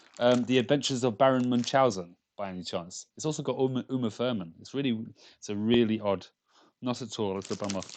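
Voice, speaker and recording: A man's very fast, medium-pitched voice with ordinary pitch variation and big swings in loudness, over a quiet background. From London. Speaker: game developer streamer. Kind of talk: casual live stream chat. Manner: casual, halting with many fillers and repeats.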